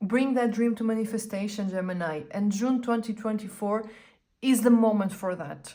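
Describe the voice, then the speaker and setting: A woman's somewhat breathy, fairly high voice with a Portuguese accent, at a moderate pace with fairly even intonation. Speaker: tarot reader / astrologer. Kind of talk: tarot reading. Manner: casual, conversational with fillers.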